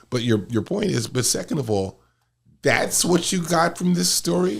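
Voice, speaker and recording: In a very clean recording with a silent background, a man with a medium pitch talks at a moderate pace, his somewhat breathy voice moving in very wide pitch swings. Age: 60s. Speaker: lawyer and politician. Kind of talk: casual chat.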